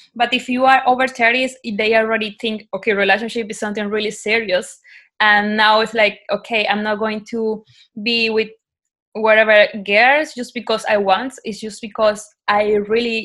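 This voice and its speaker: Speaking at a moderate pace, a woman has a bright, sharp tone and a fairly high pitch. Her intonation is fairly even, and the background is quiet. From Colombia (Cartagena). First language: Spanish. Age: 20s. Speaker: podcast guest. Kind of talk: casual chat.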